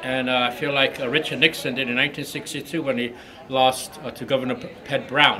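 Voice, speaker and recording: Through noticeable background noise and audible room echo, a man speaks fairly quickly at a medium pitch with monotone, flat intonation. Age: 60s. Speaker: ousted school board member. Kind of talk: press interview. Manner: halting, many fillers.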